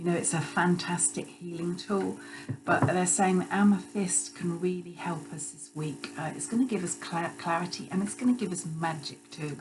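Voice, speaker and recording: With music playing behind her and audible room echo, a woman speaks at a moderate pace as her loudness swings widely. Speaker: intuitive healer and psychic channeler. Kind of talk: spiritual channeling live stream. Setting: Instagram live stream, also recorded. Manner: halting, many fillers and restarts.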